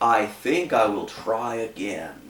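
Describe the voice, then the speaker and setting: A man's put-on character voice at a medium pitch. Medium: read story. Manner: hearty.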